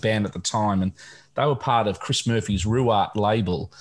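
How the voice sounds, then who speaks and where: A somewhat breathy man speaks at a fairly quick pace. The recording is very clean, with a silent background. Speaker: podcast co-host. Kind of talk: casual chat. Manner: halting, many fillers.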